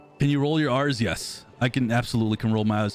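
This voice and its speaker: Music plays in the background as a man with an American accent talks at a fairly quick pace. His pitch shows ordinary variation. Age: 30s. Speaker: gaming streamer. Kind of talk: casual chat. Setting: live stream. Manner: animated.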